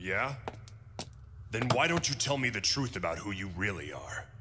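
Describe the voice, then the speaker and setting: A man's cartoonish character voice at a moderate pace over clear background noise. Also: medium pitch for a man. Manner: aggressive, brusque.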